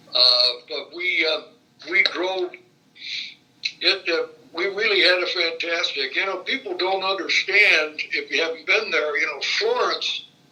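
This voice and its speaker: Noticeable background noise sits behind a man with a Midwestern American accent who speaks at a fairly slow pace. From Indiana, Fort Wayne. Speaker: retired state legislator. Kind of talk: oral history interview. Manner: halting, many fillers and repetitions.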